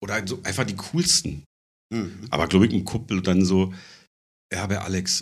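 The recording is very clean and the background silent. Here a man talks at a fairly quick pace. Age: 40s. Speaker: bass player and stick-and-poke tattooist. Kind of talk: casual chat.

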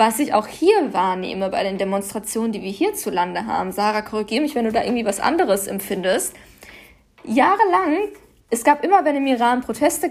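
Her pitch is fairly high and swings very widely. The woman speaks at a fairly quick pace. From Germany, Paderborn. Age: 20s. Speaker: activist. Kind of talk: interview.

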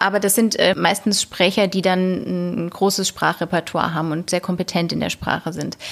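Delivered at a moderate pace with hardly any pauses, the voice has vocal fry and a flat monotone. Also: woman, medium pitch for a woman. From Hesse, Germany (Wetzlar). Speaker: linguist, postdoctoral researcher. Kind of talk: interview.

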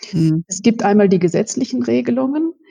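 A woman with vocal fry speaks at a moderate pace and a medium pitch. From Westphalia, Germany. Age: 50s. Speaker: lawyer. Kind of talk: expert interview. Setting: remote call.

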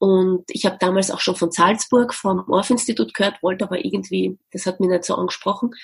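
With vocal fry at a medium pitch, a woman talks at a fairly quick pace with hardly any pauses and ordinary pitch variation. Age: 40s. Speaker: music educator and business founder. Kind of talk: interview.

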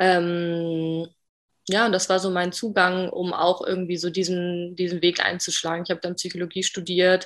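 Speaking at a moderate pace, a woman holds a fairly low pitch with monotone, flat intonation. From northern Germany, Bremen. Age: 20s. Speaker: podcast guest, coach. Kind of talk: interview.

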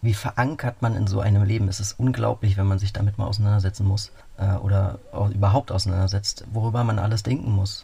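A man speaks at a fairly quick pace in a fairly low, dark, mellow voice. His delivery is monotone and flat, and somewhat breathy. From Berlin. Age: 30s. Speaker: cyclist adventurer, nurse and cook. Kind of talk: radio interview.

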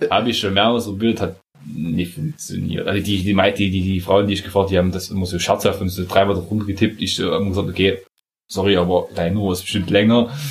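Somewhat breathy and fairly low in pitch, a man talks at a very fast pace with fairly even intonation. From Saxony, eastern Germany. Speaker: podcast co-host. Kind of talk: casual chat.

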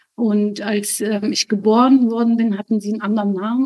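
In a dry, close recording with no echo, a woman speaks at a moderate pace in a fairly high pitch. Her tone is dark and mellow, and her intonation stays fairly even. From Germany, raised from age three, born in Lebanon. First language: Arabic (speaking German). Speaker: spiritual guest, mother. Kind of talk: personal testimony interview.

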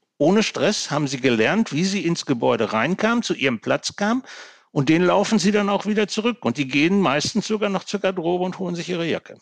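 With a dry, close sound and no echo, a man talks at a moderate pace in a high pitch with very wide pitch swings. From Ruhr area, Gelsenkirchen (Germany). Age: 60s. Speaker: public administration manager and workplace safety expert. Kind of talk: podcast interview.

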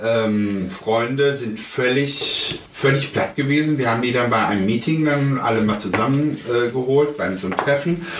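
Amid noticeable background noise and audible room echo, a man speaks at medium pitch with ordinary pitch variation. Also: moderate pace. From Germany, child of Spanish guest workers. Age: 40s. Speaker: father via surrogacy. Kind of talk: interview. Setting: at home.

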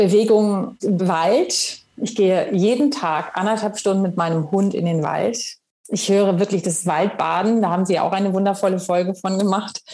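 The speaker has an unremarkable speaking voice. Delivery comes at a moderate pace with fairly even intonation. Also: woman, medium pitch for a woman. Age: 50s. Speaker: actress and author. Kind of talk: interview.

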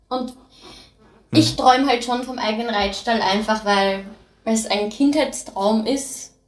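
A woman with an Austrian accent, fairly high in pitch, at a fairly slow pace, with audible room echo. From Austria (since age four). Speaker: horse farmer. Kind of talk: casual interview. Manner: lively, bubbly.

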